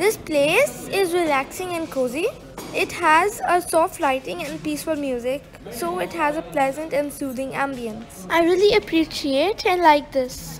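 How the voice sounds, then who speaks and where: Over music in the background, a woman talks at a fairly slow pace in a high pitch. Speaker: vlogger. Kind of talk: casual vlog narration. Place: hall.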